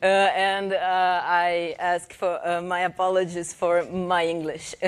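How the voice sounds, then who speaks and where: A woman speaks at a very slow pace with a Brazilian Portuguese accent. Her pitch sits in the medium range. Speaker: professor and researcher. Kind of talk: conference presentation. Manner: reading aloud from script; halting, many fillers.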